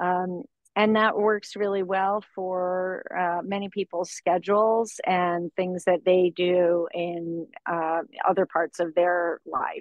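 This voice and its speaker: Very slowly, a woman with an American accent speaks in a monotone, flat way. The background is quiet. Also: dry sound with no echo. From Florida. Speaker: organic farmer; guest. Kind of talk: interview. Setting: outdoors on a farm buggy. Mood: thoughtful, relaxed. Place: car. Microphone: video call.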